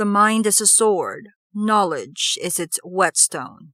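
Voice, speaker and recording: Using a raspy put-on character voice at medium pitch, a woman speaks fairly slowly in a very clean recording with a silent background. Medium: read story. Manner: smooth, cordial, never raises voice.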